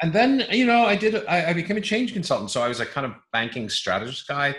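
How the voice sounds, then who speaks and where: A man talks with an American accent. His pace is moderate. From mixed: England, US, Belgium, Scotland. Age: 50s. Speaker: change consultant and conference speaker. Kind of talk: casual interview chat.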